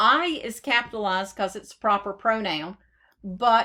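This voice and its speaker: Woman with a Southern US accent, fairly high and fairly slow, on a very clean recording with a silent background. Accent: southern drawl. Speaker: software trainer. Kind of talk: tutorial. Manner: dictating with spoken punctuation.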